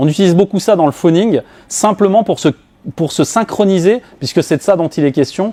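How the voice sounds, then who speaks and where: The tone is dark and mellow at a fairly quick pace. The sound is dry and close, with no echo. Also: man. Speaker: business coach / speaker. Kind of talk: talk to a live audience.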